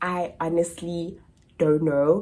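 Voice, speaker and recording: A woman with a South African accent. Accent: South African accent unchanged. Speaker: au pair and vlogger. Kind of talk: casual Q&A chat to camera. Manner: animated.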